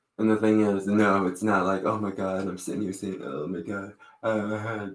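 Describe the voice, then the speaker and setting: With audible room echo, a man with a fairly low pitch and an American accent speaks in a monotone, flat intonation. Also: moderate pace. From Baltimore County, Maryland. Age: 30s. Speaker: vlogger. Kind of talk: casual monologue vlog. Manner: halting, with many fillers and restarts.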